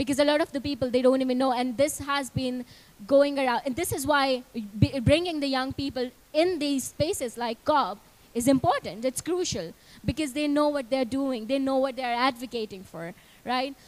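A woman speaks at a moderate pace. Her pitch is high, with ordinary variation. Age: young. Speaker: youth climate advocate; panelist. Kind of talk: panel discussion. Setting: stage with audience. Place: hall. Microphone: handheld.

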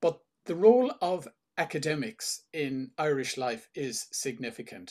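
This man talks fairly slowly. Behind him, everything is quiet. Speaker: interviewer / Rotary host. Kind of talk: interview questions. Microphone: webcam.

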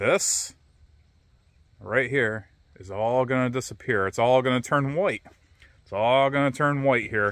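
A man talks at a fairly slow pace in a dry sound with no echo. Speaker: vlogger. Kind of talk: casual vlog chat. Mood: reflective, personal. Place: waterside. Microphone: phone near.

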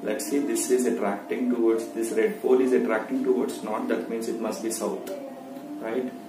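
Music plays behind a man speaking at a fairly slow pace. Audible room echo surrounds his voice. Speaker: science teacher. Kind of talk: tutorial. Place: home room. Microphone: phone near.

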